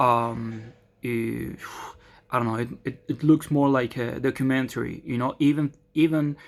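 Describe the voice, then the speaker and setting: Spoken in a Spanish accent at a moderate pace, the speech has long, frequent pauses. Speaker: vlogger. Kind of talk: casual monologue. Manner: halting, many fillers.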